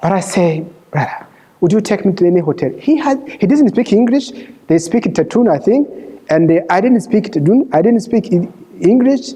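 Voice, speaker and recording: A man's high-pitched voice with a non-native accent, lively intonation and very even loudness, over noticeable background noise. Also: moderate pace. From Rwanda. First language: Kinyarwanda or French. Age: 50s. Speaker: refugee sharing his life story. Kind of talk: testimony. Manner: halting.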